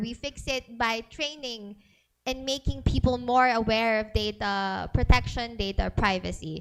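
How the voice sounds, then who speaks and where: A woman uses a normal speaking voice with a fairly high pitch and ordinary pitch variation. She talks at a fairly slow pace on a very clean recording with a silent background. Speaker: data privacy speaker. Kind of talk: seminar talk.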